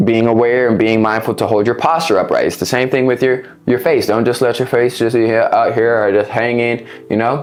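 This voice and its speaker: Over music in the background, a man speaks fairly quickly at a medium pitch, with fairly even intonation and very even loudness. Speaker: fitness coach and vlogger. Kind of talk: casual vlog-style tutorial. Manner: fast; occasional stumbles.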